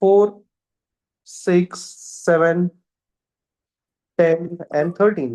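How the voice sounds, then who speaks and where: Long, frequent pauses keep the delivery at a very slow pace. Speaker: maths teacher. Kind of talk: lecture. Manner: repetitive.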